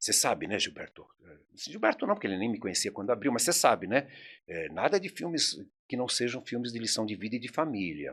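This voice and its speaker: A man speaks at medium pitch and a fairly quick pace, with very wide pitch swings and big swings in loudness. The recording is very clean, with a silent background. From São Paulo, Brazil (Mooca). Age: 70s. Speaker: video rental store owner. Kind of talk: interview conversation. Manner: animated.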